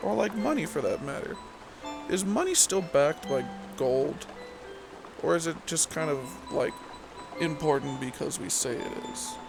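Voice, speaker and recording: A soft-spoken man talks with long, frequent pauses. Music plays in the background. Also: moderate pace. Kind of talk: casual rambling bedtime talk.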